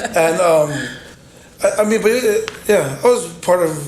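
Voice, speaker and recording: A man with an American accent, noticeable background noise and audible room echo. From Utah, US. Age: young. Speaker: church member and lay preacher. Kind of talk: casual interview.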